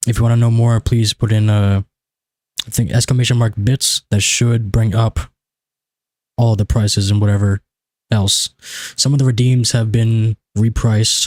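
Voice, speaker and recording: A man with a medium-pitched, somewhat breathy voice speaks in a monotone, flat way at very even loudness with long, frequent pauses, in a dry, close sound with no echo. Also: moderate pace. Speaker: video game streamer. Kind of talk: live gaming stream chat. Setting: live stream. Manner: casual, rambling with fillers.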